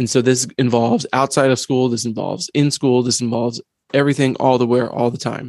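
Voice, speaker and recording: A man with a normal speaking voice, medium pitch and fairly even intonation at a fairly quick pace, in a dry, close sound with no echo over a quiet background. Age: 50s. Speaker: educator, podcast co-host. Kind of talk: casual chat.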